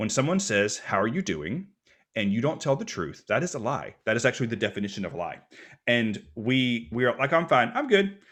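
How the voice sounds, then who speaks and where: On a very clean recording with a silent background, a man with an American accent talks at a fairly quick pace in an animated tone, his medium pitch making very wide swings. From US Deep South. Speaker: minister and mental health speaker. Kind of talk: podcast interview.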